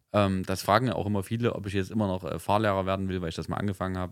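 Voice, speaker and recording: On a very clean recording with a silent background, a man with a very deep, low pitch speaks with fairly even intonation. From eastern Germany, Leipzig. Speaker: podcast host. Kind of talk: casual chat.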